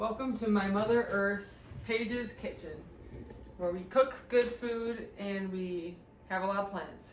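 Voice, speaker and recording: A woman's medium-pitched voice at a fairly slow pace, fairly even intonation, audible room echo and noticeable background noise. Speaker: home renovation vlogger. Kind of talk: casual chat.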